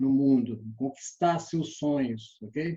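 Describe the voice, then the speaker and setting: Somewhat breathy and dark and mellow in tone, this man's voice sits fairly high in pitch. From Brazil, Belo Horizonte. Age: 60s. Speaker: sales trainer. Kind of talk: online lecture.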